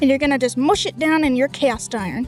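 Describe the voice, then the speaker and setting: A woman talks at a fairly quick pace with an American accent. Music plays in the background. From United States. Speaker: home cook. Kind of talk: casual cooking tutorial to camera. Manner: folksy, friendly.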